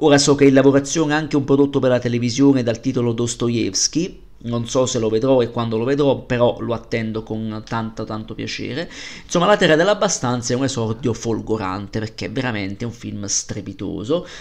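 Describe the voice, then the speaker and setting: With a plain, everyday voice, a man talks at a fairly quick pace and medium pitch, using ordinary pitch variation. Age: 30s. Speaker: film podcaster. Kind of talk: solo film review podcast.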